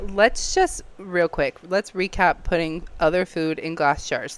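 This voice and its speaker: A woman speaks in an animated tone with lively intonation. Her pace is fairly slow. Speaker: podcast co-host. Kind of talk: casual chat. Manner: speaking quietly.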